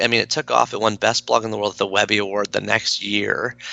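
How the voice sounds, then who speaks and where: Here a man speaks at a fairly quick pace. The sound is dry and close with no echo. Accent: slight Canadian. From Canada. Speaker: author and blogger. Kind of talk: podcast interview. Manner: casual, filler-heavy.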